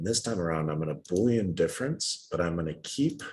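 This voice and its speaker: This man has a very deep, low voice. He talks at a fairly quick pace. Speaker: design software instructor. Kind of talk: tutorial. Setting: video call.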